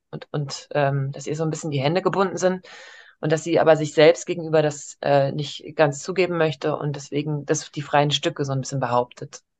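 A woman's voice, very deep and low, stays monotone and flat throughout. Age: 30s. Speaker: coaching client. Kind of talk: coaching session. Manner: halting, many fillers.

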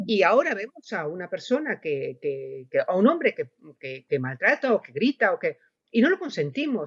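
The voice shows vocal fry, very wide pitch swings and big swings in loudness, recorded dry and close with no echo. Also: woman, fairly high pitch for a woman, moderate pace. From Spain. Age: 60s. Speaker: novelist. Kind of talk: panel discussion. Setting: round table event.

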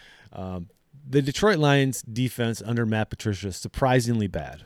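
Speaking at a moderate pace with a Wisconsin accent, a man with a fairly low pitch is heard in a very clean recording with a silent background and a dry, close sound that has no echo. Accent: Upper Midwest (Wisconsin). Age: 40s. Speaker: sports podcast host. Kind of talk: casual solo sports commentary.

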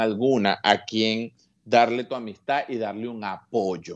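A man talks at a very slow pace with a quiet background behind him. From Venezuela, Petare (Caracas). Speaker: comedian. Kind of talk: interview. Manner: animated.

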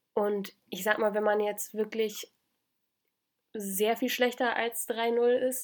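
Recorded very cleanly against a silent background, a woman speaks at a medium pitch with monotone, flat intonation. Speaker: podcast co-host, former exchange student. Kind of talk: casual chat.

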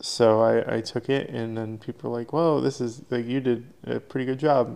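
An ordinary speaking voice moves at a fairly quick pace with hardly any pauses. The intonation stays fairly even while the loudness swings widely. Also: man. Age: 20s. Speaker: autocross driver and parts maker. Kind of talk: casual chat.

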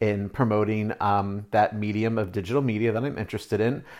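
A man talks at a medium pitch. The recording is very clean, with a silent background. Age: 30s. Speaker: eyelash extension artist and podcaster. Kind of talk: casual solo monologue.

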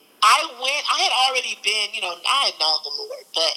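A woman's voice over noticeable background noise. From East St. Louis, Illinois (US Midwest). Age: 30s. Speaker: preacher and event promoter. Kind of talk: testimony. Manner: halting, many fillers.

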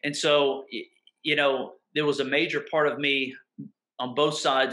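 A man speaks with a Mississippi accent. His voice sits fairly high for a man. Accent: Southern US (Mississippi). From US South, southern Mississippi. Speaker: pastor. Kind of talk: casual interview conversation. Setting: video call.

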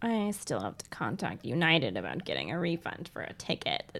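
A whiny, put-on character voice at a middle pitch and moderate pace

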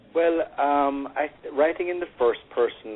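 A man speaking at a moderate pace. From Jamaica. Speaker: novelist and engineer. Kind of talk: interview. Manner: hesitant, many fillers.

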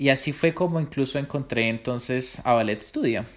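Moving at a moderate pace, a man with a medium pitch talks in a plain, everyday voice. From Colombia. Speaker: professional dancer. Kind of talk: interview.

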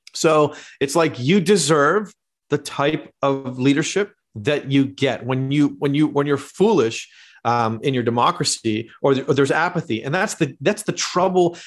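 An ordinary speaking voice, this man's pitch is fairly high and his pitch variation is ordinary. He talks at a moderate pace. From Canada. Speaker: teaching pastor and theologian. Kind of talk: casual interview conversation. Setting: remote call.

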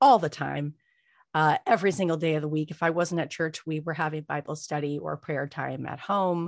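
With an American accent, a woman speaks at a fairly low pitch and a moderate pace. Her pitch varies in an ordinary way, and the background is quiet. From Los Angeles, California. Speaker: podcaster and author. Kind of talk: interview testimony.

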